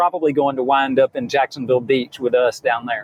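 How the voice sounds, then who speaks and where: In a Southern US accent, a man speaks at a fairly high pitch with monotone, flat intonation, and the sound is dry and close with no echo. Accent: Southern US (Georgia). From US South, rural south Georgia. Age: 60s. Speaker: financial planner. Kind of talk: casual interview chat. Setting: in a car. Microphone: connection cutting out.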